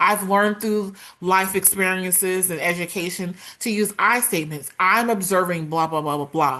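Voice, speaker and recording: A loud woman with a bright, sharp tone, medium pitch, ordinary pitch variation and a moderate pace. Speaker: workplace culture advocate and speaker. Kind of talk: interview.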